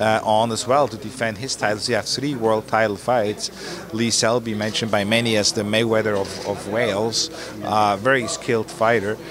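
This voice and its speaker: With noticeable background noise behind him, a man talks at a fairly quick pace. His intonation is monotone and flat. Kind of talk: interview answer. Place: gym. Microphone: handheld.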